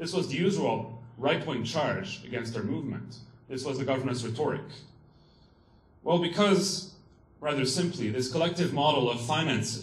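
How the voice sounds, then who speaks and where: This man talks at a moderate pace in a Quebec accent, his pitch medium and his intonation lively. Audible room echo and noticeable background noise are present. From Quebec, Montreal. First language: French. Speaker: student activist. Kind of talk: conference talk read from notes. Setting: stage with audience.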